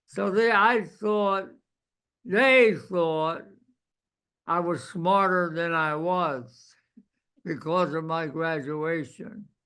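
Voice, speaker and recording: The voice has a bright, sharp tone and ordinary pitch variation, moving at a very slow pace. Long, frequent pauses fill the speech, and there is audible room echo. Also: man, high pitch for a man. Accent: American. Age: 80s+. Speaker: war veteran. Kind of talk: oral history interview.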